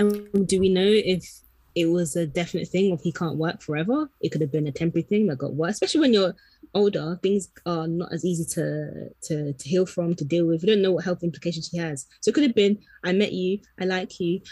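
At a fairly quick pace, a woman with a fairly low pitch and a dark, mellow tone sounds somewhat breathy, her pitch varying in an ordinary way. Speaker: podcast co-host. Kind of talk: casual chat.

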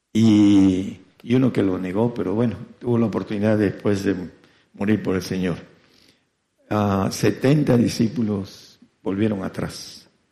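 With audible room echo, a dark, mellow tone speaks at a fairly slow pace, using fairly even intonation and long, frequent pauses. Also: man. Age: 70s. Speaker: radio preacher. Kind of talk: sermon. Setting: congregation present, broadcast on FM. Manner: halting.

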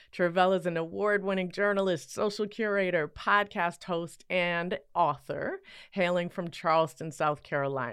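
With an ordinary speaking voice, a woman at a fairly low pitch talks at a moderate pace with ordinary pitch variation and hardly any pauses over a quiet background. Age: 50s. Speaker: podcast host. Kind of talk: interview conversation.

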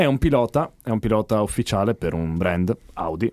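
A man's dark, mellow tone comes through with a dry, close sound and no echo as he speaks at a moderate pace with very wide pitch swings. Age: 20s. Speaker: podcast host. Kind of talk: casual chat.

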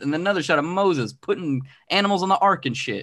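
A man in a normal speaking voice with lively intonation, against a quiet background. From Arizona. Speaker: comic book writer and artist. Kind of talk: casual interview chat.

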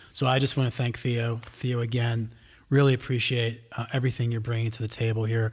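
With an American accent, a man speaks at a fairly quick pace and medium pitch, somewhat breathy and in a monotone, flat delivery, on a very clean recording against a silent background. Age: 50s. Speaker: podcast co-host. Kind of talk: casual chat.

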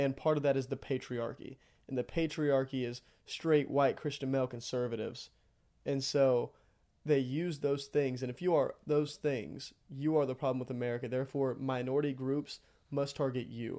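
On a very clean recording with a silent background, a man with a Texan accent speaks at a moderate pace, medium in pitch, with a dark, mellow tone and monotone, flat intonation. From Texas, near College Station. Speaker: seminary student. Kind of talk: casual interview.

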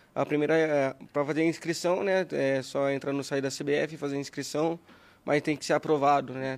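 Using an ordinary speaking voice, a man talks at a fairly high pitch with fairly even intonation. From Brazil, interior of São Paulo state. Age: 20s. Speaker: youth football coach. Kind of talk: casual podcast interview. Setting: studio.

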